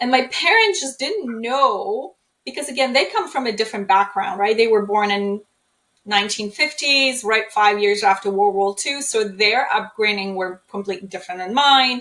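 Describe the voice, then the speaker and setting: A woman with a Polish accent speaks at a moderate pace in a fairly high, bright, sharp voice with ordinary pitch variation. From Poland. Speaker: trauma healing speaker. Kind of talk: interview.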